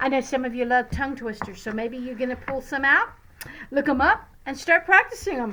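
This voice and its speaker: With a warm, playful tone and lively intonation, a woman with an American accent speaks in a raised, projected voice at a high pitch and a fairly quick pace, with noticeable background noise. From Louisiana, USA. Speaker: retired teacher. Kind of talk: casual talk to children.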